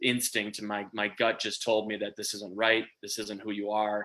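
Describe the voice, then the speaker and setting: A man with a Minnesota accent speaks at a fairly low pitch in a bright, sharp tone. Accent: Minnesota accent, sounds Canadian-ish. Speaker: small business owner. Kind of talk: interview. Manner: halting, many fillers.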